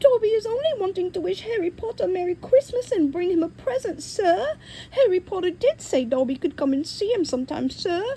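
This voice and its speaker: A squeaky put-on character voice at an extremely high pitch, fairly quick with hardly any pauses, over clear background noise. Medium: read story. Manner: deferential, speaks of himself by name, broken grammar.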